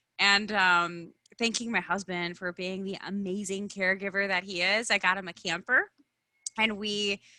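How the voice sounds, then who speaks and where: A woman with a Midwestern accent speaks at a moderate pace and medium pitch. The sound is dry and close with no echo, on a very clean recording with a silent background. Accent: Midwestern, chewy vowels. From US Midwest. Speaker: branding consultant and speaker. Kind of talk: podcast interview. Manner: animated.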